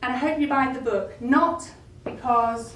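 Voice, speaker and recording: Through noticeable background noise and audible room echo, a woman speaks at a fairly slow pace with ordinary pitch variation. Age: 60s. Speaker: talk therapist and author. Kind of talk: speech to an audience at a book launch. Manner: animated.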